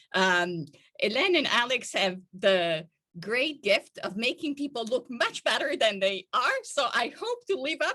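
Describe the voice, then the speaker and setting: Speaking at a fairly slow pace, a woman with an Italian accent uses a high, bright, sharp voice with very wide pitch swings. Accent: foreign Italian. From Italy. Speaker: professor. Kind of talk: academic keynote talk. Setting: video call.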